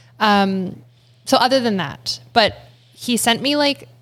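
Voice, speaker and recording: Vocal fry runs through this woman's speech. She talks with a Canadian accent. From Ontario, Canada (Guelph). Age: young. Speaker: barista and meditation coach. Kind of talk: interview conversation. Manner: calm.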